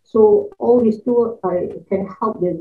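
Against a quiet background, the speaker talks at a fairly slow pace in a Malaysian accent. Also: woman. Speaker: university lecturer. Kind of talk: conference presentation. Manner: halting, many fillers. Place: home room.

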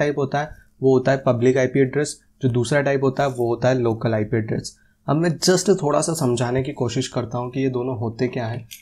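His intonation holds fairly even. This man's voice comes out somewhat breathy. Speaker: tech YouTuber. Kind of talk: tutorial. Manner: casual. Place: studio. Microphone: lapel.

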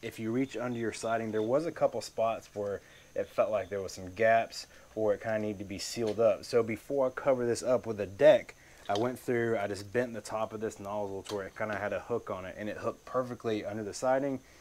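Delivering his words at a very fast pace, a man keeps his intonation fairly even. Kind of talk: tutorial. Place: garden. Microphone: phone near.

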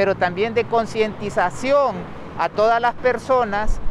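Here a man speaks at a fairly slow pace with high pitch and ordinary pitch variation. The sound is dry with no echo, though noticeable background noise comes through. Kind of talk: press statement answering reporters. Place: street. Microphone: handheld.

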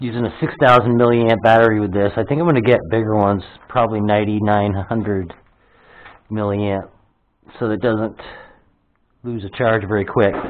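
Fairly quick and fairly low in pitch, a man talks in a plain, everyday voice with fairly even intonation. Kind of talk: casual vlog chat. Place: empty room. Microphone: phone near.

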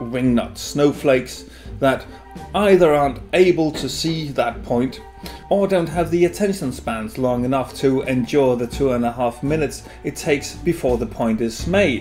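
A man talks at a moderate pace while faint music sounds in the background. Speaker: beer vlogger. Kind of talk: opinion commentary. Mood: sarcastic, critical. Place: home room. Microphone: camera far.

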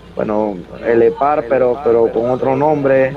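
Against noticeable background noise, a man speaks with fairly even intonation in a dry sound with no echo. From Panama, El Chorrillo neighbourhood of Panama City; Panama. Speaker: professional wrestler; interviewee. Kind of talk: interview. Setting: video call. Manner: halting, many repetitions. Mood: reminiscing. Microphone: video call.

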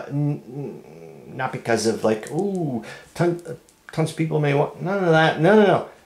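Noticeable background noise sits behind a man with a fairly high pitch. He speaks at a fairly slow pace with lively intonation. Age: 50s. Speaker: hobbyist video creator. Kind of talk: casual solo vlog. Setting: at home, upstairs room. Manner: animated, frequent laughter.

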